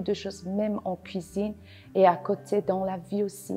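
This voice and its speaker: Music plays in the background as a woman speaks at a medium pitch. Her intonation is monotone and flat. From Afghanistan. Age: 20s. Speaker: award-winning cooking apprentice. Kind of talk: interview testimony. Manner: halting, many hesitations.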